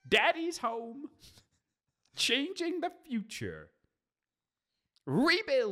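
Squeaky and high-pitched, this put-on character voice moves at a very slow pace with long, frequent pauses.

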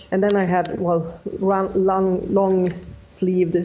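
A woman with a Swedish accent speaks very slowly at a fairly low pitch. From Sweden. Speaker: ultra runner. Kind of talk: interview.

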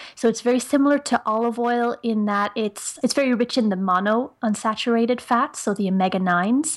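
A woman's fairly high voice at a fairly quick pace with hardly any pauses and ordinary pitch variation, in a very clean recording with a silent background. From Ireland. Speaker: nutritionist and personal trainer. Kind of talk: podcast interview.

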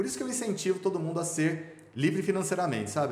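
Audible room echo and noticeable background noise around a man's voice. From Brazil, Goiânia (Goiás). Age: 40s. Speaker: businessman and swimmer. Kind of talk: podcast interview, personal life story.

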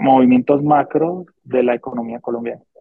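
The man's medium-pitched voice moves fairly slowly, its pitch rising and falling in an ordinary way. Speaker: stock market podcast co-host. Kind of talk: casual chat.

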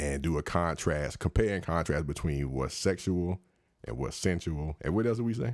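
With an American accent, the speaker sounds animated, uses lively intonation and keeps a moderate pace on a very clean recording with a silent background. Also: man, very deep, low pitch for a man. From Washington DC. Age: 30s. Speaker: podcast host. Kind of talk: casual chat. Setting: studio.

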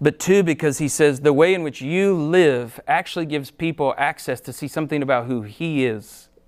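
In a very clean recording with a silent background, a man speaks at a moderate pace and a fairly high pitch, with ordinary pitch variation. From Ohio, US Midwest. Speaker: pastor. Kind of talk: sermon.

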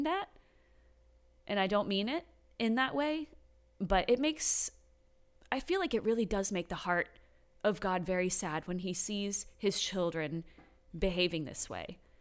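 A woman speaks at a medium pitch with lively intonation and a fairly slow pace. She leaves long, frequent pauses on a very clean recording with a silent background. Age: 20s. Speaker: podcast host's wife sharing her faith story. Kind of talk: casual chat. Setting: home garage studio.

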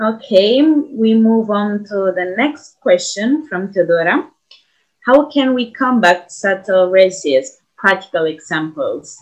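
Very wide pitch swings mark a woman's medium-pitched voice, delivered at a very slow pace. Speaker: event moderator. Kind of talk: panel discussion.

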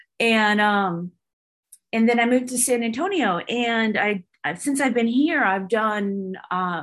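A woman speaks with an American accent in an ordinary speaking voice, at medium pitch with ordinary pitch variation. Her pace is moderate and the background quiet. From Northern California. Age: 40s. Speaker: retired army officer and filmmaker. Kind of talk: interview conversation.

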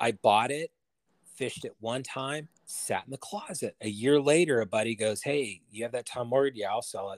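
An unremarkable speaking voice, a man with an American accent talks at a moderate pace and medium pitch with ordinary pitch variation, the sound dry and close with no echo in a very clean recording with a silent background. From California, Bay Area. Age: 50s. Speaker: bamboo rod builder. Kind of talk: casual chat.

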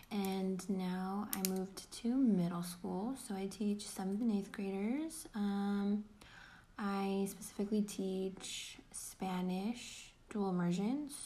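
Speaking at a very slow pace, a woman sounds somewhat breathy, with a dark, mellow tone. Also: medium pitch for a woman, ordinary pitch variation. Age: 20s. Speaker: podcast co-host, middle school teacher. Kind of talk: casual chat.

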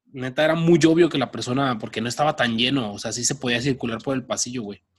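Using fairly even intonation, a man talks at a medium pitch. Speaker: podcast co-host. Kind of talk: casual chat. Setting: recording from home.

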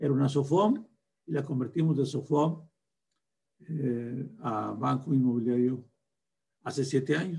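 A man with a fairly high pitch and a somewhat breathy voice talks at a fairly slow pace, with ordinary pitch variation and long, frequent pauses. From northern Mexico (Durango, raised in Torreón). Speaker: bank founder and president. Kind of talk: interview.

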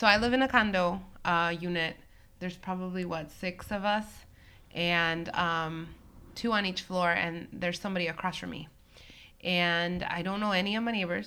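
A woman with a fairly low pitch and a bright, sharp tone speaks at a moderate pace, with long, frequent pauses. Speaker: podcast co-host. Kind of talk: casual chat. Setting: home recording.

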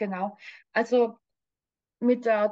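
An unremarkable speaking voice from a woman, fairly high in pitch, fairly slow, with fairly even intonation. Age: 60s. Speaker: spiritual coach and medium. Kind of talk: personal testimony interview.

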